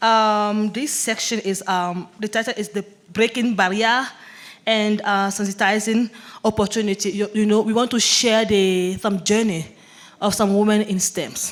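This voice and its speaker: Intonation is monotone and flat. Delivery proceeds at a fairly slow pace. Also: woman, fairly high pitch for a woman. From French-speaking African country. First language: French. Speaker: panel moderator. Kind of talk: conference panel moderation. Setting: conference stage with audience. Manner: halting.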